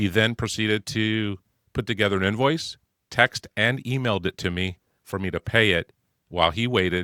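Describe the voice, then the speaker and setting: A man's fairly low voice with a bright, sharp tone, moderate pace and ordinary pitch variation, dry and close with no echo, on a very clean recording with a silent background. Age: 60s. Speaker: podcast co-host, painting business consultant. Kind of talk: casual business podcast chat.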